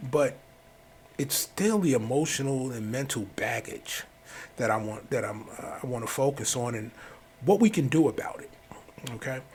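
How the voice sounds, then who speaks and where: Lively intonation marks this man's medium-pitched voice at a moderate pace. Long, frequent pauses and big swings in loudness break it up. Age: 60s. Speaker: life coach podcaster. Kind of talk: personal monologue.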